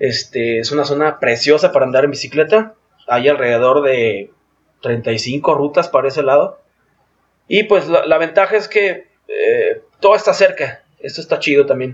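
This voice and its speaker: Lively intonation marks this man's fairly high voice. He keeps a moderate pace with long, frequent pauses. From Mexico, Guadalajara (Jalisco). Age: 30s. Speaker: outdoor sports and cycling event organizer. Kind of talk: casual interview.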